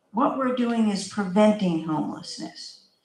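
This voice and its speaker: A woman's fairly high voice, lively in intonation and fairly slow, with audible room echo. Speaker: housing authority official. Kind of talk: community panel answer. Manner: loud.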